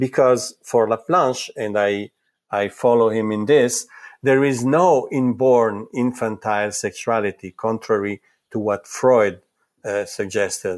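With an Italian accent, a man talks at a fairly slow pace and a medium pitch. His pitch varies in an ordinary way, and the recording is very clean with a silent background. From Italy. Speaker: psychoanalyst and psychology professor. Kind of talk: interview. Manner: halting, frequent repetitions.

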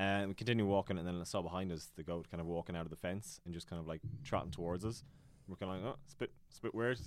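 A man with a very deep, low voice talks at a very fast pace, his loudness swinging widely while his pitch varies in an ordinary way. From Ireland, County Tipperary. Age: 20s. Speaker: YouTuber. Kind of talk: casual chat.

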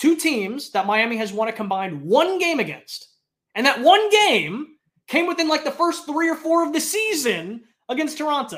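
A man talks in an animated tone at an extremely high pitch. His pitch swings very widely. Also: moderate pace. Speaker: podcast host. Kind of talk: casual sports podcast chat. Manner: animated, jokey.

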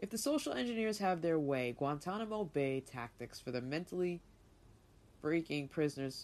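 In an angry tone, a woman with a very deep, low pitch speaks at a moderate pace. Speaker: podcast host reading and commenting on an article. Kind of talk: angry rant; reading aloud with commentary. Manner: angry, profane and indignant; improvised, casual.

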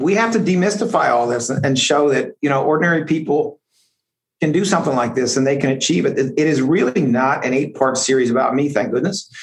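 An unremarkable speaking voice, this man talks at a fairly quick pace with a fairly high pitch and lively intonation. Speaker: district attorney. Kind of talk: casual interview.

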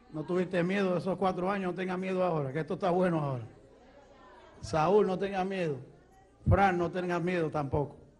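In a room with audible echo, a high-pitched man talks at a fairly quick pace with fairly even intonation, stopping for long, frequent pauses. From Puerto Rico. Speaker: evangelist preacher. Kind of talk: sermon testimony.

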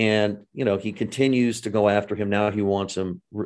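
Intonation stays fairly even at a moderate pace. It is a plain, everyday voice. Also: man. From California. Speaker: political journalist and podcast host. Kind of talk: interview.

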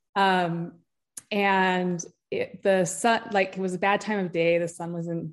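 A plain, everyday voice with an American accent, fairly even intonation and a quiet background. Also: woman. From Utah. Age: 40s. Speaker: author and endurance athlete. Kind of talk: casual interview chat.

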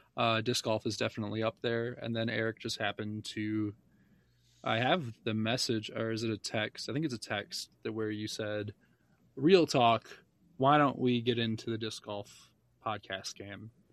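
A man's plain, everyday voice at a moderate pace, fairly even intonation, dry and close with no echo, over a quiet background. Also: medium pitch for a man. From Michigan. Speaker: podcast host. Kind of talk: casual chat.

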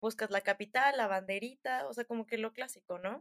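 A woman speaks in a central Mexican accent, her tone bright and sharp. Her pitch varies in an ordinary way, and the sound is dry and close with no echo. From Mexico (Hidalgo, Querétaro). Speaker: traveler, student. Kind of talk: casual interview chat, travel storytelling. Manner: animated.

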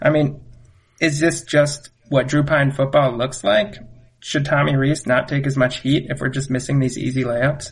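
A man with a fairly high pitch speaks at a moderate pace, somewhat breathy and with fairly even intonation, against a quiet background. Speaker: guest co-host, friend of host. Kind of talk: casual sports chat.

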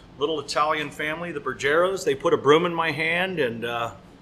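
A man's fairly high voice with an American accent, ordinary pitch variation, and noticeable background noise. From US West Coast, San Francisco. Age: 40s. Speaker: master butcher. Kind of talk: casual interview. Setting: on site in a butcher shop.

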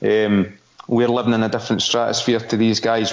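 Noticeable background noise sits behind a man talking at a fairly quick pace in a Scottish accent. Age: 40s. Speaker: football pundit. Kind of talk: casual chat.

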